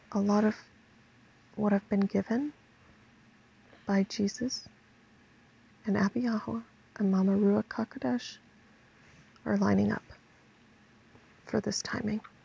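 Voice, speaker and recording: Quiet and somewhat breathy, a woman at a medium pitch speaks at a fairly slow pace with long, frequent pauses, her tone dark and mellow, her pitch varying normally, and the sound dry and close with no echo. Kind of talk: religious vlog monologue.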